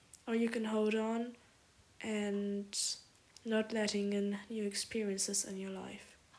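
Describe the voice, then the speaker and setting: Very slowly and with long, frequent pauses, a woman with a warm tone and a medium pitch speaks in a monotone, flat way over noticeable background noise. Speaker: poet and podcaster. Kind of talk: spoken word poetry, a heartfelt intimate love letter addressed to a lover. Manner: earnest and tender, with reflective pauses and warm emphasis.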